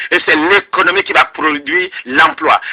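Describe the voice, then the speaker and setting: The voice is raised and projected, moving at a fairly slow pace. The sound is dry and close, with no echo. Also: man. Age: 40s. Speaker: presidential candidate. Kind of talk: radio interview. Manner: impassioned.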